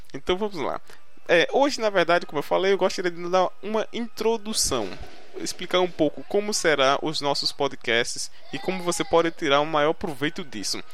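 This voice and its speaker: Noticeable background noise sits under the speech. The pace is moderate and the intonation lively. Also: man, high pitch for a man. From Brazil, Recife, Pernambuco (Northeast). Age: 20s. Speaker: podcast host, English learning blogger. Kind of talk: casual solo podcast monologue. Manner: hesitant, many fillers and repetitions.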